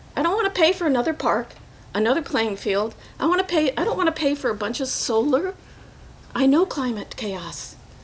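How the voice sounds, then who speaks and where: Over noticeable background noise, a woman speaks at a fairly quick pace in a high pitch, her voice making very wide pitch swings. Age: 60s. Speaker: resident speaking at public comment. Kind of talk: public comment at a council meeting. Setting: city council meeting.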